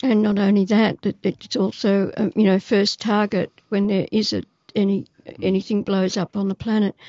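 A woman's medium-pitched voice in an Australian accent, flat and monotone, at a moderate pace. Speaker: activist. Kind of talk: interview.

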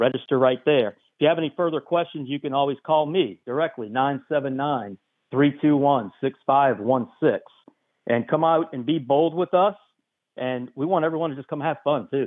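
With a normal speaking voice, a man talks at a moderate pace, his fairly high pitch showing ordinary variation. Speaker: charity director. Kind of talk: phone-in event promotion. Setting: phone call.

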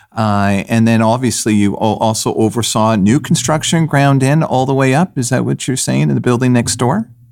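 At a moderate pace and with hardly any pauses, a man speaks at medium pitch with ordinary pitch variation and very even loudness over noticeable background noise. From Canada. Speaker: podcast host, real estate investor. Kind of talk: casual interview.

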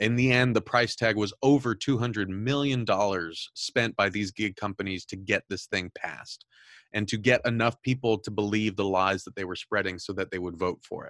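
A man with an American accent uses a normal speaking voice, fairly low in pitch with fairly even intonation, at a moderate pace, in a very clean recording with a silent background and a dry, close sound with no echo. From Southern California. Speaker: podcast host and news editor. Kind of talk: interview.

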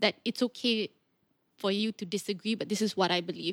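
This woman has an ordinary speaking voice with a fairly high pitch, talks at a fairly quick pace, and is recorded very cleanly with a silent background and a dry, close sound with no echo. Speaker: podcast host and public speaker. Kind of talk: casual interview chat.

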